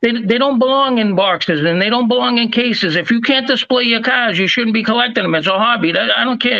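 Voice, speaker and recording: Pitched high for a man, this male voice moves at a fairly quick pace with fairly even intonation. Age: 60s. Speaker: diecast collector and channel host. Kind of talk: casual chat. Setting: live stream.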